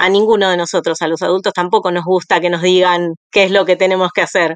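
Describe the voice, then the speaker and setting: Over a quiet background, a woman talks at a fairly quick pace in a monotone, flat intonation with a dry, close sound with no echo. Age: 40s. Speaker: school principal and early-education teacher. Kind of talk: interview.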